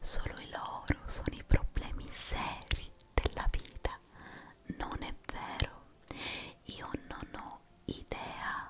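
A woman's intense whispering, very slow, with long, frequent pauses and big swings in loudness. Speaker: ASMR creator. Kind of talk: guided relaxation, motivational talk to viewer. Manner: intense whispering, soft-spoken. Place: home room. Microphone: studio mic.

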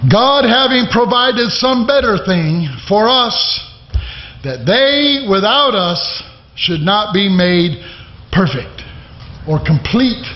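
A man's very slow speech with long, frequent pauses and audible room echo. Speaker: preacher. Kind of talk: sermon. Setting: church; stage with audience. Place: church. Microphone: podium.

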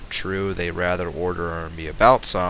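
Noticeable noise can be heard in the background as a man speaks. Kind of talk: audiobook reading. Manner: occasional stutter.

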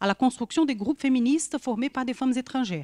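Lively intonation from a woman with a Brazilian accent, against a quiet background. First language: Portuguese (speaking French). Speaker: social science researcher; panel discussant. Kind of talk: academic talk. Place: hall.

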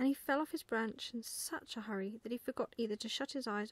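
A reading voice that sounds natural

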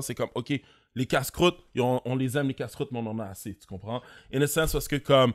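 Against a quiet background, a man talks very fast with ordinary pitch variation. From Montreal, Quebec (Haitian community). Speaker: podcast host, entrepreneur; podcast host. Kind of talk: casual chat. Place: studio. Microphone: studio mic.

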